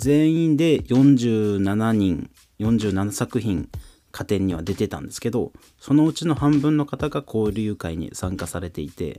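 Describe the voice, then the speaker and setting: A man's fairly low, fairly slow voice with very wide pitch swings in a very clean recording with a silent background. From Fukuoka, Japan. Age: 30s. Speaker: tatami craftsman and rapper. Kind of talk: casual solo podcast talk.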